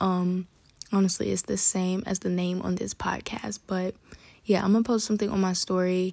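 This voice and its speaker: In a New York accent, a woman speaks at medium pitch with monotone, flat intonation. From Bronx, New York. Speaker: podcast host. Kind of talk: casual monologue. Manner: fast talker.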